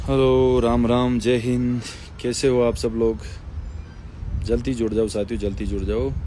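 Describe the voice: His tone dark and mellow, a man speaks at a medium pitch with little pitch movement. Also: fairly slow pace.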